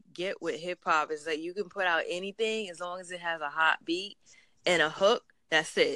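A woman with a New York accent speaks at a fairly quick pace in a fairly low pitch and a bright, sharp tone, with a dry, close sound with no echo on a very clean recording with a silent background. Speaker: interviewer. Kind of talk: casual interview chat.

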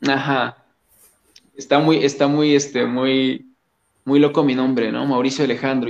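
A man speaks with a Mexican accent at a moderate pace. His pitch is fairly high. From Mexico, Coatepec, Veracruz. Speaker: musician. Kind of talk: casual interview. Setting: video call.

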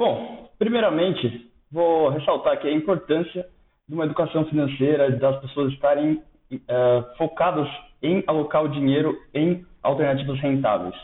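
A man speaks in a normal speaking voice with a fairly high pitch, ordinary pitch variation, and a moderate pace. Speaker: investment analyst. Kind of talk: podcast interview.

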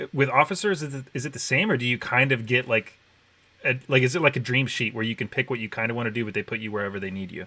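Talking at a very fast pace, the man hurries along. His tone is bright and sharp. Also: medium pitch for a man, ordinary pitch variation. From military brat, partly raised in Okinawa, Japan. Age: 20s. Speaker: podcast host. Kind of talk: casual chat.

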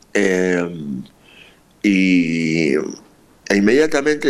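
The man's intonation is lively. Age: 50s. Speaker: rock musician. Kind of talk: interview. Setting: remote line. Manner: halting, many repetitions.

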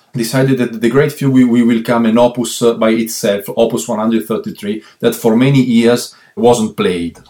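With an Italian accent, a man speaks at a fairly slow pace with hardly any pauses, his medium-pitched voice dark and mellow in tone, with fairly even intonation and very even loudness. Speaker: violist. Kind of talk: interview.

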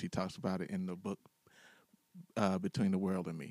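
On a very clean recording with a silent background and a dry, close sound with no echo, a man speaks at a fairly quick pace in a very deep, low pitch with fairly even intonation. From US inner city. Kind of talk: casual chat. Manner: halting.

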